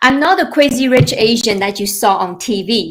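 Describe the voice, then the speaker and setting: Speaking with a Chinese accent, a woman uses lively intonation at a fairly high pitch. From China. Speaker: financial planner. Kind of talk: webinar presentation. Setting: live online webinar.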